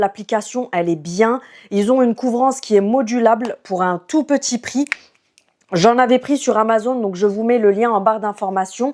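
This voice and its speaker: A woman has a plain, everyday voice with a fairly high pitch. She speaks at a moderate pace with ordinary pitch variation. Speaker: beauty youtuber. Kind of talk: product review. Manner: casual.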